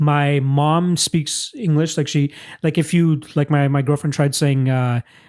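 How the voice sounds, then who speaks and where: An unremarkable speaking voice, a man with a Canadian accent talks fairly slowly at a fairly high pitch, with fairly even intonation and very even loudness, on a very clean recording with a silent background. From Canada, Toronto. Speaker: podcast host. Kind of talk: casual chat.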